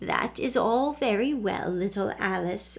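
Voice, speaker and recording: Using a put-on character voice at medium pitch, a woman talks at a fairly slow pace over light background noise. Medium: read story. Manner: gentle, wise.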